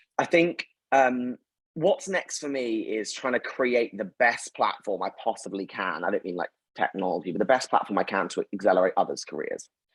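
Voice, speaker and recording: A man with a London accent speaks at a medium pitch, his voice ranging through very wide pitch swings. The sound is dry and close, with no echo. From North London, England. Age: 20s. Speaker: company founder and CEO. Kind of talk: interview. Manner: fast.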